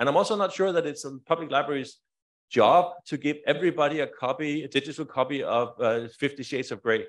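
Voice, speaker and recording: This man speaks very fast with a Danish accent. His pitch is fairly high and varies in an ordinary way. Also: quiet background. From Denmark. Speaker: library e-lending negotiator; conference presenter. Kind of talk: conference presentation. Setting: stage with audience. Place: hall.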